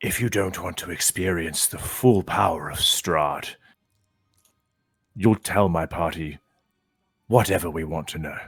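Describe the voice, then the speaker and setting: Putting on a character voice, a man speaks in a very deep, low pitch with a menacing tone, keeping a moderate pace broken by long, frequent pauses. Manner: menacing, intimidating.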